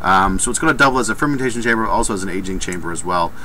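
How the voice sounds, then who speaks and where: Light noise runs behind a man as he talks. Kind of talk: casual vlog chat. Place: workshop. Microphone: webcam.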